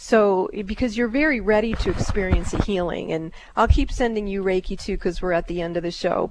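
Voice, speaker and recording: A woman's unremarkable speaking voice, fairly high in pitch, with lively intonation and a fairly quick pace. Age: 60s. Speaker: psychic radio host. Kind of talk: live call-in reading.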